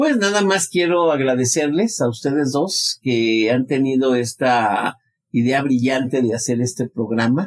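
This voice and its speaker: The man's voice sits at a medium pitch with lively intonation, moving at a fairly slow pace and holding a very even loudness. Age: 60s. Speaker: psychologist. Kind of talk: interview. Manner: halting.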